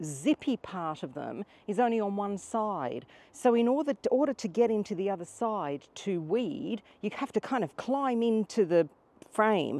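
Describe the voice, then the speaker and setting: A woman talks at a fairly slow pace with very wide pitch swings, the sound dry with no echo. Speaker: gardening vlogger. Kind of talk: casual vlog chat. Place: garden.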